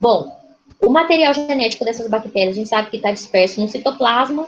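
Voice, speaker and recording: A woman's fairly high voice with a Brazilian accent, lively intonation and a fairly quick pace. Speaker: lecturer. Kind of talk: lecture. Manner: fast.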